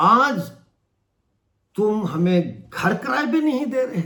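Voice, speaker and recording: A man speaks in a raised, projected voice. His pitch is high and his tone bright and sharp. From Mirpur, Pakistan-administered Kashmir. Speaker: human rights activist and YouTuber. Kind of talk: political commentary to camera. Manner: impassioned.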